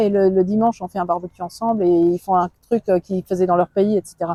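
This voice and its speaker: Dry and close with no echo, a woman's dark, mellow voice moves at a fairly quick pace. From Luxembourg. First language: Luxembourgish (speaking French). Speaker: politician. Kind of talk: interview. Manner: halting.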